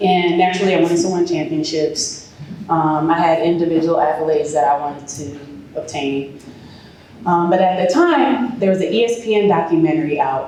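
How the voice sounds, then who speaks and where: Through noticeable background noise and audible room echo, a woman speaks at a fairly quick pace in a fairly low pitch. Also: ordinary pitch variation. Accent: American. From Chicago. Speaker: former pro basketball player turned real estate developer. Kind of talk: speech to an audience. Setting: event hall with audience and microphone. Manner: loud.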